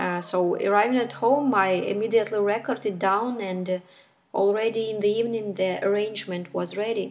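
Music plays in the background as a woman speaks with a Ukrainian accent. Her pitch is fairly high and her intonation fairly even. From Ukraine. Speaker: musician. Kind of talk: recorded statement.

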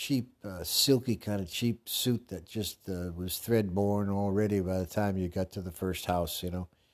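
Recorded very cleanly against a silent background, a man speaks fairly slowly at a fairly low pitch. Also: fairly even intonation. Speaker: podcast host. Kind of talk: casual monologue. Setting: bathroom with echo. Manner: rambling with many fillers.

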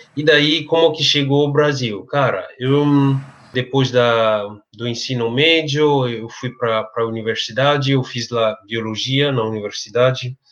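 With a slight Cameroonian accent, a man talks at a medium pitch and a fairly slow pace, his intonation fairly even. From Cameroon, French-speaking region. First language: French (speaking Portuguese). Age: 30s. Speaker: English and French teacher. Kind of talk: interview. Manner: hesitant, filler-heavy.

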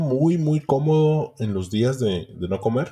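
A man with a dark, mellow tone, somewhat breathy, with lively intonation at a fairly slow pace. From Ciudad Obregón, Sonora, Mexico. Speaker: podcast co-host. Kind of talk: casual chat.

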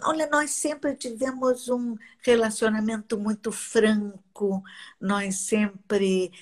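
Her voice is fairly high and somewhat breathy, with ordinary pitch variation. The woman speaks at a very slow pace. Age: 80s. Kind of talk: casual chat.

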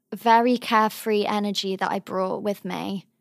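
In a southern English accent, a woman speaks at a fairly high pitch and fairly slow pace with monotone, flat intonation. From England, Cotswolds. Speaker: drama student and model. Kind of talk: casual interview.

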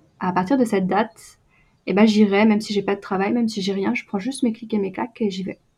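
A woman's somewhat breathy, medium-pitched voice against a quiet background. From France, Brittany. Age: 20s. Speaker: photographer and video producer. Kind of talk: casual interview. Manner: hesitant, many fillers.

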